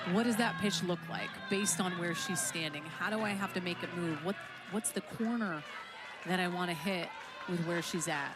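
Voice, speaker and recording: The voice has an animated tone and moves at a moderate pace over noticeable background noise. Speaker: softball color commentator. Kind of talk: live commentary.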